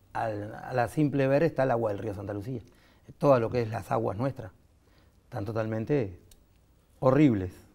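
A man with a dark, mellow, somewhat breathy tone speaks at a moderate pace with ordinary pitch variation. Long, frequent pauses break up his speech against a quiet background. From Uruguay, Montevideo; Uruguay. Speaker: veterinary technician, baker and animal trainer; interview guest. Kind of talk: interview. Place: studio.

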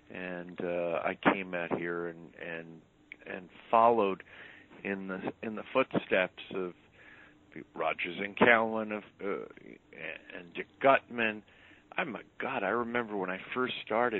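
A man with an American accent speaks at a fairly slow pace with long, frequent pauses. His fairly low pitch has ordinary variation, with big swings in loudness. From New York. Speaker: publicist. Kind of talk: interview. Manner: halting.

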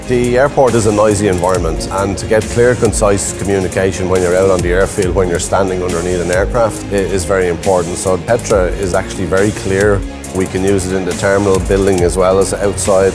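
A man with a very deep, low pitch at a fairly quick pace, hardly any pauses, and clear music in the background. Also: ordinary pitch variation. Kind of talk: interview answer. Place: garage.

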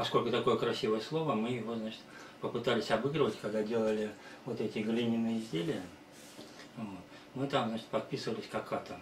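With audible room echo and light background noise, a man speaks at a fairly quick pace with fairly even intonation. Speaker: presenter. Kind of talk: presentation talk. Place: home room. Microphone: camera far.

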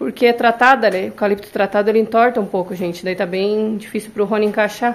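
At a very fast pace with hardly any pauses, a woman speaks at a fairly high pitch with fairly even intonation. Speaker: construction vlogger. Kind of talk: casual vlog narration. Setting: construction site.

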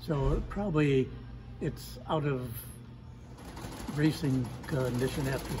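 A man's very slow speech with fairly even intonation over faint music in the background. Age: 90s. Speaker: sailmaker. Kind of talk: casual interview. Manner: hesitant. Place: workshop. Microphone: phone near.

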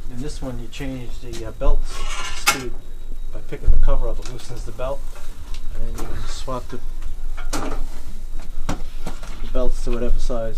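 A man at a moderate pace against loud background noise. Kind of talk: casual show-and-tell demonstration. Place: workshop. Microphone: camera far.

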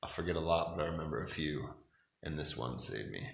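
With vocal fry and audible room echo, a man talks at a fairly quick pace. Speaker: travel vlogger. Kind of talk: casual vlog chat. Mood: playful, affectionate storytelling. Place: home room. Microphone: phone near.

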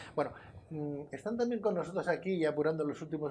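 A man's fairly high voice with ordinary pitch variation and light background noise. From Spain. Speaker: TV presenter; TV show host. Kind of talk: TV interview. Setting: TV studio. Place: studio. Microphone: lapel.

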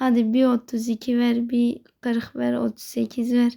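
The voice belongs to a woman with a high pitch. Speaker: gaming video creator. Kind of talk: gameplay commentary.

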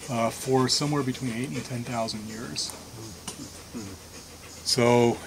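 Amid noticeable background noise, a man speaks at a moderate pace with ordinary pitch variation. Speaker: walk guide. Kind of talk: guided tour talk. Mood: reflective, calm. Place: forest. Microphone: camera far.

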